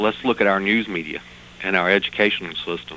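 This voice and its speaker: Over noticeable background noise, a man with a Southern US accent speaks at a fairly quick pace with ordinary pitch variation. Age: 30s. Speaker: caller. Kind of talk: call-in comment. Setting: phone call.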